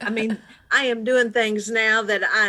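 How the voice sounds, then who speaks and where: A woman's fairly high, fairly slow ordinary speaking voice. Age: 50s. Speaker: pastor. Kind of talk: testimony.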